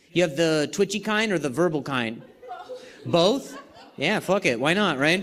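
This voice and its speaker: A man speaks with a high pitch and lively intonation. Noticeable background noise is present. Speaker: stand-up comedian. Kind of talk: stand-up crowd work. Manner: stutters.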